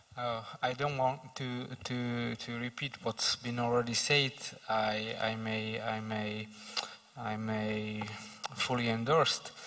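With a Slovak accent, a man speaks at a very slow pace in a monotone, flat intonation. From Slovakia. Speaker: parliamentary official; speaker. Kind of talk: panel discussion. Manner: halting. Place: stage. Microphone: handheld.

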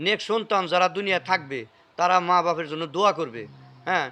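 Pitched high, a man talks with ordinary pitch variation. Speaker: family history video blogger. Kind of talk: casual interview with elderly relative; religious talk.

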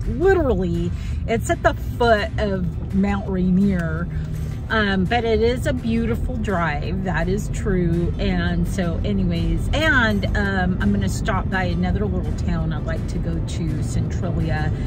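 A woman at a fairly slow pace, with clear music in the background and a dry sound free of echo. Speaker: vintage reseller vlogger. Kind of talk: casual vlog chat. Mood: cheerful, relaxed. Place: car. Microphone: phone near.

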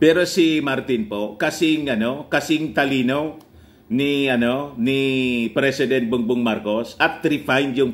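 A man speaks very slowly at a fairly high pitch. His pitch variation is ordinary. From Philippines. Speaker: political news vlogger. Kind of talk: political commentary vlog. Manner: laughs often while talking. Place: home room. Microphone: phone near.

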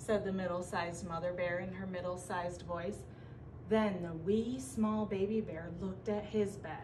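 Fairly even intonation in a natural reading voice

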